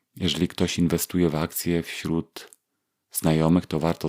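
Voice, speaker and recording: A man with a very deep, low pitch and a dark, mellow tone speaks with monotone, flat intonation in a dry, close sound with no echo. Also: very clean recording, silent background. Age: 40s. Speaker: podcast host, engineer. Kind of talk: solo podcast monologue. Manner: halting, many fillers.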